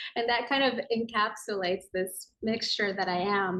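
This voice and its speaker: A woman with an American accent speaks at a fairly high pitch. Her pitch varies in an ordinary way. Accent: sounds American. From Tokyo, Japan, international school. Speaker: yoga and meditation teacher, author. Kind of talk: podcast interview.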